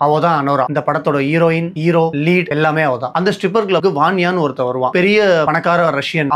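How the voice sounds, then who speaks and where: A fairly high-pitched man with ordinary pitch variation, amid noticeable background noise. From Chennai, India. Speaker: film reviewer, YouTuber. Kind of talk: movie review narration, casual talk to camera.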